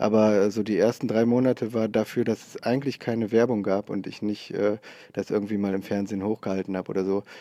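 Very fast and flat, a man speaks in a monotone. His voice is fairly low, with a dark, mellow tone. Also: dry, close sound with no echo. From Oberbergisches Land near Cologne, Germany. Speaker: comedian. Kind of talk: casual chat. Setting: large theatre hall.

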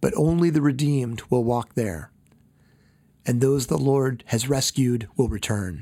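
In a plain, everyday voice, a man speaks at a fairly slow pace and a medium pitch, with ordinary pitch variation and very even loudness. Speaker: pastor. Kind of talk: scripture reading. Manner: solemn, measured, reverent; formal, steady.

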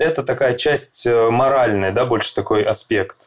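A man talks in a plain, everyday voice at a fairly slow pace. His pitch is medium, with ordinary variation. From Russia, Krasnodar. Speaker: psychologist. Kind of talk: interview.

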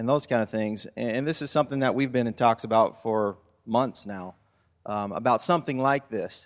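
On a very clean recording with a silent background, a man speaks in an unremarkable speaking voice at a medium pitch with ordinary pitch variation. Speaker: church leader. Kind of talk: panel interview. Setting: church.

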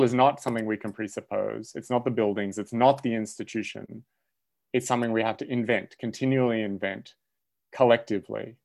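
An Australian accent from a man, at a fairly quick pace with fairly even intonation. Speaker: philosophy professor. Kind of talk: casual chat.

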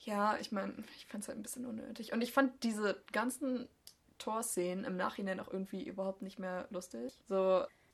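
Her voice unremarkable and her pitch fairly high, a woman speaks at a moderate pace with big swings in loudness. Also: ordinary pitch variation. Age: 20s. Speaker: podcast co-host. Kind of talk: casual chat.

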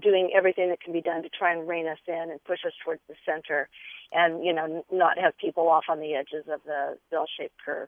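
A woman in a normal speaking voice, fairly low in pitch, with fairly even intonation at a fairly quick pace. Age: 50s. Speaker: caller. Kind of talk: radio call-in. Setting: phone call from a car.

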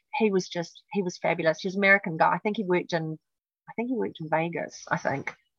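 A woman speaks at a very fast pace in a fairly low pitch. The sound is dry and close, with no echo. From New Zealand. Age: 50s. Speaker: former dancer. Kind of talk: casual interview chat.

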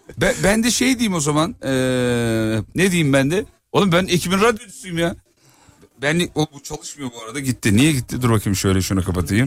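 A man's animated, fairly high voice with vocal fry and very wide pitch swings, at a moderate pace. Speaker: radio host. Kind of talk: casual chat. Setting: outdoors.

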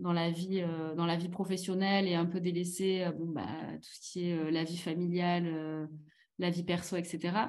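Fairly low in pitch, a woman speaks with fairly even intonation. Audible room echo fills the recording. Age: 30s. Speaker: company finance and admin director. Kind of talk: casual chat.

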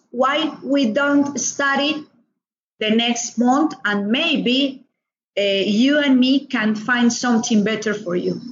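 Speaking very slowly in a Colombian accent, a woman with a high pitch shows ordinary pitch variation. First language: Spanish. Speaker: doctor. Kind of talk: interview. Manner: halting, with many fillers.

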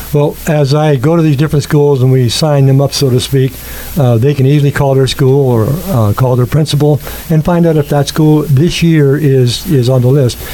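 A man with a fairly high voice talks at a moderate pace, with fairly even intonation and very even loudness, over noticeable background noise. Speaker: youth sports volunteer organizer. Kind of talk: interview.

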